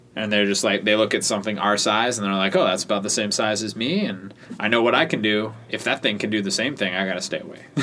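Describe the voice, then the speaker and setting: With noticeable background noise behind him, a man rattles along at a very fast pace with hardly any pauses, his fairly low pitch showing ordinary variation. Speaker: podcast co-host. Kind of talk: casual banter chat.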